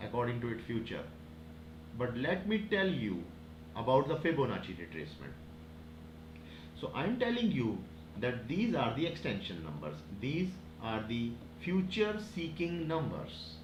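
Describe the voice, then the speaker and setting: In a room with audible echo, a man talks at a medium pitch with vocal fry. His pitch swings very widely, and he leaves long, frequent pauses. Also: moderate pace. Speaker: forex trading teacher. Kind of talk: tutorial. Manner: halting.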